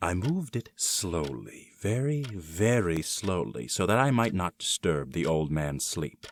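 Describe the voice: A put-on character voice swings widely in pitch. The recording is very clean, with a silent background and a dry, close sound with no echo. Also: man, low pitch for a man, fairly slow pace.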